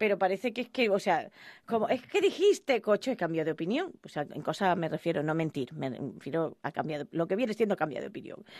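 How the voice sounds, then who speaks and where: A woman's unremarkable speaking voice at medium pitch, fairly quick and lively in intonation, over a quiet background. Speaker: radio host. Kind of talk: radio interview.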